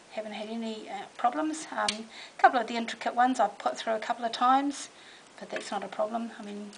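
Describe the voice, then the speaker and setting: Over noticeable background noise, someone with a New Zealand accent speaks at a very fast pace with fairly even intonation. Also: woman. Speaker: crafter demonstrating a product. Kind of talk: product demonstration. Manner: casual, hesitant with fillers.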